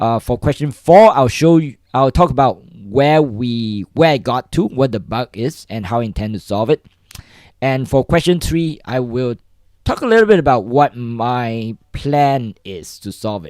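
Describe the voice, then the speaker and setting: A man at a fairly slow pace, medium pitch and lively intonation, in a very clean recording with a silent background and a dry, close sound with no echo. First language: not English. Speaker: coding livestreamer. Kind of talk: livestream tutorial. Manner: halting, many repetitions and fillers.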